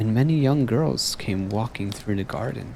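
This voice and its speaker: A soft-spoken man with a gentle tone talks at a fairly slow pace and medium pitch. His intonation is lively, with noticeable background noise behind him. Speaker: VTuber streamer. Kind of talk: softly spoken story reading. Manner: soft-spoken, gentle.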